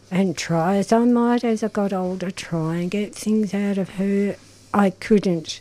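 With an Australian accent, a woman speaks in a dark, mellow tone with fairly even intonation. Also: medium pitch for a woman. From Melbourne, Australia. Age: 70s. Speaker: retired gardener and volunteer. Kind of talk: casual chat.

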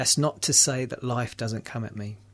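A somewhat breathy man with a London accent. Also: quiet background. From London, England. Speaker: recovering alcoholic sharing story. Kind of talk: personal testimony in radio interview. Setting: radio studio. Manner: hesitant, many fillers.

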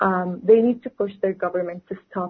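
Speaking at medium pitch in an Arabic accent, a woman keeps her intonation fairly even. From West Bank, Palestine. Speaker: student and activist. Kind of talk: radio interview.

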